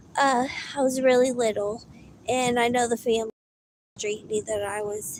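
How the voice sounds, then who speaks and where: A woman's fairly high-pitched voice in a Southern US accent, at a moderate pace with fairly even intonation. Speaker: live-in caregiver and livestreamer. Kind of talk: casual livestream talk. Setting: livestream. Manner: halting, with frequent restarts.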